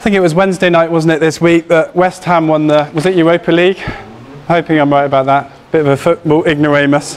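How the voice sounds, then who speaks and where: Over light background noise, a man talks very fast with very even loudness and monotone, flat intonation. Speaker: church elder preaching. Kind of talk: sermon. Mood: warm, lightly humorous. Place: church. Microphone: lapel.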